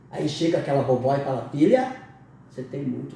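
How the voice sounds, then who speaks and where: Amid noticeable background noise and audible room echo, a man's voice makes very wide pitch swings. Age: 60s. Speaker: interviewer. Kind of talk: interview.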